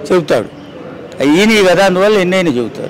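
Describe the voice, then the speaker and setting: A man's voice over noticeable background noise. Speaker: elderly pensioner. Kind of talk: street interview answer.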